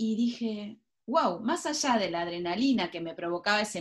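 A woman with an unremarkable speaking voice, fairly high pitch, fairly slow pace and lively intonation. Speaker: writer and former journalist. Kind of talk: interview.

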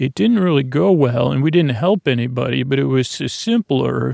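A man speaks in a medium pitch at a moderate pace. The recording is a dry, close sound with no echo. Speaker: sleep podcast host. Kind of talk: rambling bedtime storytelling. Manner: halting, full of fillers and restarts.

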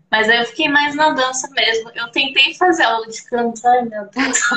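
Using an ordinary speaking voice, she keeps a moderate pace, and her fairly high pitch shows ordinary variation. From Brazil, Campinas, São Paulo state. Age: 30s. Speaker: belly dancer. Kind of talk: casual interview. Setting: live stream.

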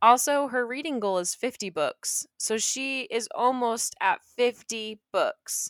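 Speaking very slowly with hardly any pauses, a woman has a high pitch and ordinary pitch variation, recorded very cleanly with a silent background and a dry, close sound with no echo. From England. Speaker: podcast co-host. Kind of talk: casual chat. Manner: animated.

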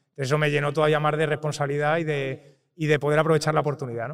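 A man's fairly high voice at a very fast pace. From Spain, Toledo. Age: 30s. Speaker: real estate investor and tech entrepreneur. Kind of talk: interview. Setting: recorded in person at an event.

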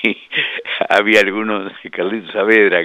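The voice belongs to a man with a fairly low pitch. Noticeable background noise can be heard. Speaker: motorsport engineer and commentator. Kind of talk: radio interview.

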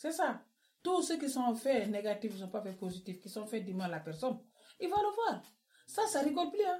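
A woman talks at a moderate pace in a high pitch with a dark, mellow tone. Her pitch swings very widely. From West Africa. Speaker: book club guest. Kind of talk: casual chat.

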